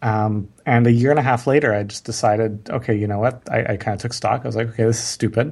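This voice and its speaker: In a very clean recording with a silent background, a man speaks very fast at a medium pitch, somewhat breathy, with fairly even intonation. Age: 30s. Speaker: marketing entrepreneur. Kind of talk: interview. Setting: podcast interview.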